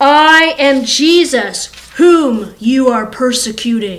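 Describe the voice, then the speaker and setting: A woman does a put-on character voice in a high pitch. She speaks at a very slow pace. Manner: commanding, majestic.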